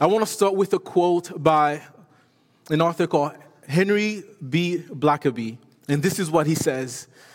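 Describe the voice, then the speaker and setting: The pace is moderate. Pitch rises and falls in an ordinary way. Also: man. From Haiti. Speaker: missions director and guest preacher. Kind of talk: sermon. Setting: church.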